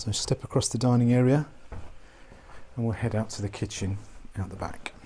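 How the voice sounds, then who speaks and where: A man speaks quietly at a fairly quick pace, his medium-pitched voice dark, mellow and somewhat breathy. His intonation stays fairly even. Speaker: property tour presenter. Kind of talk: walkthrough property tour. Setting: indoors in a historic house. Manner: quiet, hushed; halting with restarts.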